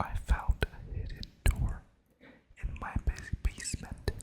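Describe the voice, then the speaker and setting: The speaker whispers at a fairly slow pace. Background noise is noticeable. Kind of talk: casual talk to camera. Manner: casual, chatty intro to camera.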